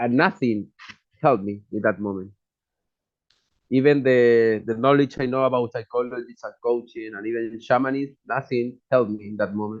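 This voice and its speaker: With a Chilean accent, a man talks in fairly even intonation while his loudness swings widely. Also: medium pitch for a man, moderate pace. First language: Spanish. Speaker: psychologist and shaman. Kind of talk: personal testimony. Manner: non-native, halting English.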